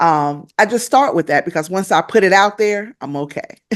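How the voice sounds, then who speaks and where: Fairly slow, lively speech in a Southern US accent over a quiet background. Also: woman. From US South. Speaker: podcast host. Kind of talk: interview. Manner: halting, many fillers.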